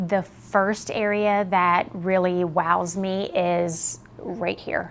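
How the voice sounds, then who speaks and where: A woman speaks with a bright, sharp tone. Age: 50s. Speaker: facelift patient. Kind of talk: interview answer. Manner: casual, upbeat.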